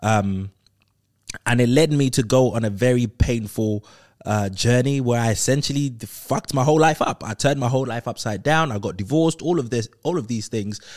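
In a very clean recording with a silent background, a man of medium pitch speaks at a fairly quick pace with ordinary pitch variation. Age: 30s. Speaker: motivational podcast host. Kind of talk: solo motivational talk.

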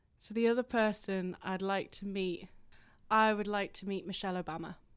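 The speaker is a woman with an English accent, talking at a moderate pace. The recording is very clean, with a silent background. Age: 30s. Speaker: composer. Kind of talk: interview.

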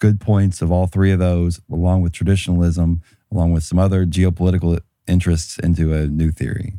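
A man speaks at a fairly quick pace in a very deep, low voice with a dark, mellow tone and monotone, flat intonation, on a very clean recording with a silent background. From US South, rural. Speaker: panelist. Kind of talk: casual panel discussion.

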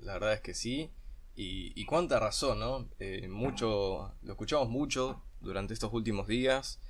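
With audible room echo, a man speaks at a fairly slow pace and a medium pitch with ordinary pitch variation. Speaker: podcast host. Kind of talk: casual chat.

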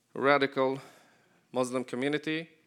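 A man with an Arabic accent talks at a moderate pace in a fairly high voice, keeping his intonation fairly even. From Palestine, Jericho. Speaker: ministry leader. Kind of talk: church talk.

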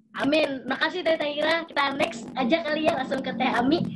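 Very fast speech from a woman, high in pitch, with ordinary pitch variation. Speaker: student podcast host. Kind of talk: casual chat.

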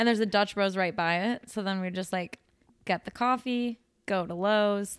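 Recorded dry and close with no echo and a very clean, silent background, the speaker has a Midwestern American accent and a moderate pace. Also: woman, medium pitch for a woman. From US Midwest. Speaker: podcast co-host, speech pathologist. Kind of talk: casual chat. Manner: animated.

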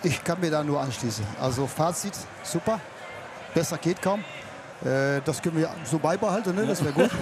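A man's fairly high voice with lively intonation, a Dutch accent, very even loudness, a moderate pace, long and frequent pauses, and noticeable background noise. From Netherlands. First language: Dutch (speaking German). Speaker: fairground showman. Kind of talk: casual chat. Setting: outdoors at a fair.

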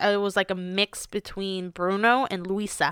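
Recorded very cleanly against a silent background, a woman with a bright, sharp tone talks at a very slow pace with fairly even intonation. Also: dry, close sound with no echo. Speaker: Marine veteran. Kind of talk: casual chat.

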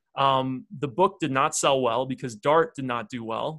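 A man with ordinary pitch variation. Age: 30s. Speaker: computer science professor and author. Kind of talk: podcast interview. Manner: hesitant, many fillers.

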